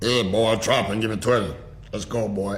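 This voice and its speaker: Over clear background noise, a man does a put-on character voice at a medium pitch and a moderate pace. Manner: barking, commanding.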